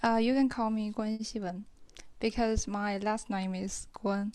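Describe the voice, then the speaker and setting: A woman with a Chinese accent speaks at a medium pitch and a fairly slow pace. Her tone is dark and mellow, against a quiet background. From China. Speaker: caller practising English. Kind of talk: casual conversation practice. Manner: hesitant, many fillers.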